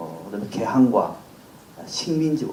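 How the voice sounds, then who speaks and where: A man with a Gyeongsang accent speaks at a fairly high pitch. Audible room echo and noticeable background noise fill the recording. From South Gyeongsang, Korea (Sancheong). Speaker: political commentator. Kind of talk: lecture.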